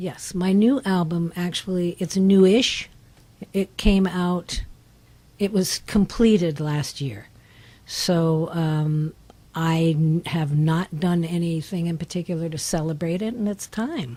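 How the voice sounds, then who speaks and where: Very slowly, a woman speaks in a fairly low pitch with a dark, mellow tone and ordinary pitch variation. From Northern California, Berkeley. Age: 80s+. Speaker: singer-songwriter. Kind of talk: radio interview. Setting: radio studio.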